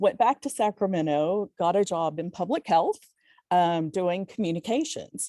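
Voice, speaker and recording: A woman's fairly low voice with a Texan accent, dark and mellow in tone, at a moderate pace with ordinary pitch variation, in a dry, close recording with no echo, very clean against a silent background. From Texas, small town. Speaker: career panelist, communications professional. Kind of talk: career talk to students.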